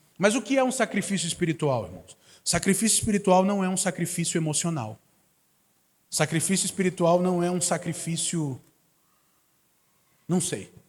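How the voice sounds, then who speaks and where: Pausing long and often, a man speaks with a high pitch. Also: ordinary pitch variation, moderate pace, very clean recording, silent background. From Manaus, Amazonas, northern Brazil. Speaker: guest preacher. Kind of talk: sermon. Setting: church service.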